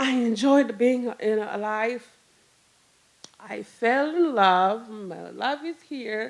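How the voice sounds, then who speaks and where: A woman with a Rwandan accent, fairly high-pitched, at a very slow pace with ordinary pitch variation and big swings in loudness. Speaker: storyteller. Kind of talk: live storytelling. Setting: stage with audience. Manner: halting.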